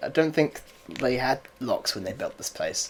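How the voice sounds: Speaking at a fairly slow pace, a man with a medium-pitched voice makes big pitch swings.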